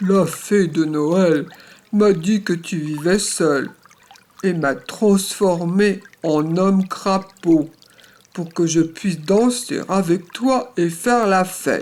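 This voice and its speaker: A man puts on a croaky character voice, speaking at a high pitch and a very slow pace. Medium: read story. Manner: playful, croaking "quoi, quoi".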